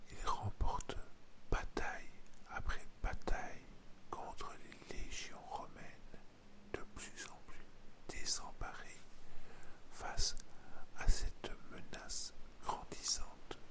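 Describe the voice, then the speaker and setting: Someone whispers in a calm tone at a very slow pace, with long, frequent pauses. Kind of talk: ASMR history narration for bedtime. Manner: calm, intimate, soft-spoken, addressing the listener.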